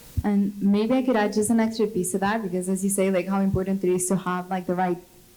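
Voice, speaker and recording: A woman speaks very fast with a Latin American accent. Her pitch is medium. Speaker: product manager on industry panel. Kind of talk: panel discussion.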